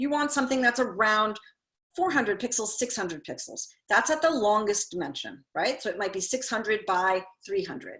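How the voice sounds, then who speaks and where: A woman talks at a fairly quick pace with a fairly high pitch and a bright, sharp tone. The background is quiet. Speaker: artist and workshop instructor. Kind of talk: online workshop tutorial. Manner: fast.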